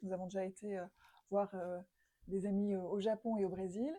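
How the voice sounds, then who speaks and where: The tone is dark and mellow, the intonation fairly even, and the pace moderate. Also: woman. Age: older than 24. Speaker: interviewer. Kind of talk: semi-structured interview. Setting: living room. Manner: hesitant, many fillers.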